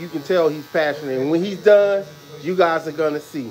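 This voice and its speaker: There is light background noise as a man with a high pitch speaks with ordinary pitch variation. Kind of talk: casual vlog chat. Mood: warm, admiring. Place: shop. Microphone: phone near.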